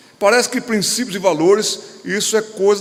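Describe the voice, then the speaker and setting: In a room with audible echo, a man with a Pernambuco accent talks at a moderate pace. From Pernambuco, Brazil. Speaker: pastor. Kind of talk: lecture. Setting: stage with audience.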